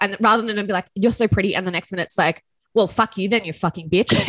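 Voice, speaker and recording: A woman with an Australian accent talks very fast in a dry, close sound with no echo. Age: 30s. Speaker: podcast host. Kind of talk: casual chat.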